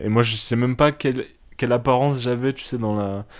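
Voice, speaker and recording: A man's medium-pitched voice moves along very fast, its intonation fairly even. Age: 20s. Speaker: interviewee. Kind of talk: intimate interview. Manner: hesitant.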